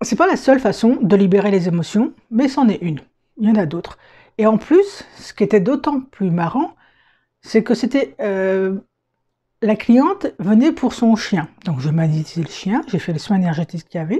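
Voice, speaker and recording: A dark, mellow tone with very wide pitch swings, a moderate pace, and a quiet background. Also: woman, fairly high pitch for a woman. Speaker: energy healer and coach. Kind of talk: casual vlog to camera. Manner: hesitant, with fillers.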